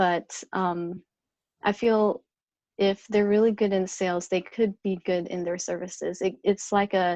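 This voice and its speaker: A soft-spoken woman talks at a fairly slow pace and medium pitch in a monotone, flat intonation. The sound is dry and close with no echo, against a quiet background. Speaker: top sales producer. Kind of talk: interview. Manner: halting.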